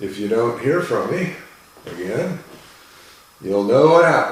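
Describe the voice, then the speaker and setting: Noticeable background noise and audible room echo fill this recording. A man talks at a fairly slow pace and medium pitch with very wide pitch swings. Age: 60s. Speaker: falconer. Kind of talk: casual vlog talk to camera. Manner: halting, many fillers and repeats.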